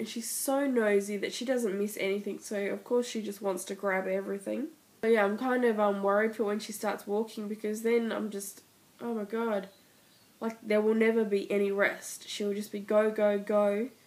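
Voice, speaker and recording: A woman with an Australian accent talks at a moderate pace in a fairly high pitch. Her intonation is monotone and flat. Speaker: mother. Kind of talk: casual vlog talk to camera.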